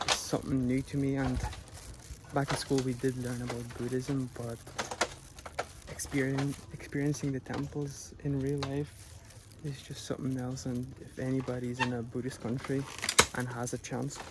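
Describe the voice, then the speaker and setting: A soft-spoken man talks in a monotone, flat intonation, leaving long, frequent pauses. Audible room echo and noticeable background noise surround him. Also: medium pitch for a man, moderate pace. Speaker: travel vlogger. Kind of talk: casual vlog narration. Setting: outdoors at a temple. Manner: quiet, soft-spoken.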